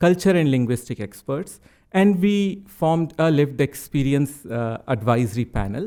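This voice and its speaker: In an Indian accent, a man speaks at a moderate pace with a fairly high pitch. His tone is dark and mellow, and his intonation lively. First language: Hindi. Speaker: psychiatrist presenting research. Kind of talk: conference presentation. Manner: halting, many fillers.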